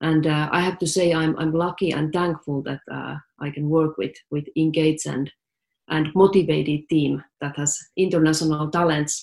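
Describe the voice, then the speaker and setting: A woman with a Finnish accent, very deep and low-pitched, fairly even intonation at a moderate pace. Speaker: tech startup CEO. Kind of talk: interview.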